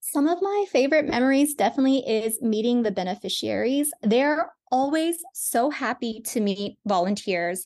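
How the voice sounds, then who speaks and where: A woman speaks at a moderate pace in a high voice with hardly any pauses. Her pitch swings very widely. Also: very even loudness, quiet background. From India. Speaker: volunteer travel organization social media manager. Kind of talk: interview.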